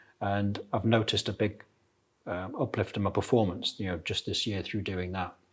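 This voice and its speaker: On a very clean recording with a silent background, a man with an ordinary speaking voice talks at a moderate pace in a fairly low pitch. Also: fairly even intonation. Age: 60s. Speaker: ultramarathon runner. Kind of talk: casual interview.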